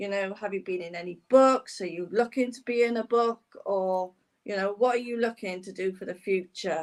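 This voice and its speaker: A woman's unremarkable speaking voice at medium pitch, with ordinary pitch variation, big jumps in volume and a moderate pace. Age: 60s. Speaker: podcast host. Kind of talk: interview.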